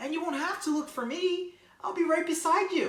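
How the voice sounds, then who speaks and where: A woman's squeaky, put-on character voice at an extremely high pitch, moderate pace, with slight echo. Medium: read story. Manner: chirpy, bright.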